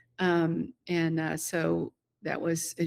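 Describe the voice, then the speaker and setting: On a very clean recording with a silent background, a woman talks in a fairly low pitch. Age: 60s. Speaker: retired business founder. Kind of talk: interview conversation. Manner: halting, many fillers.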